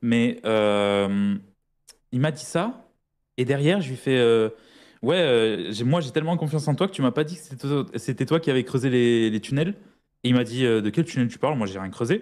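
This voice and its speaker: Over a quiet background, a man talks at a moderate pace with lively intonation and long, frequent pauses. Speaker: fellow gamer. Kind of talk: casual gaming roleplay chat. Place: home room. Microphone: studio mic.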